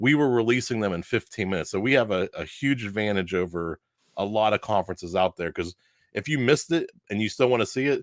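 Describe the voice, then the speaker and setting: On a very clean recording with a silent background and a dry, close sound with no echo, a man with a Pittsburgh accent speaks at a very fast pace, his fairly low pitch showing ordinary variation. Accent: Pittsburgh, runs words together. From Pittsburgh, US. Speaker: podcaster and conference organizer. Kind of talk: podcast interview.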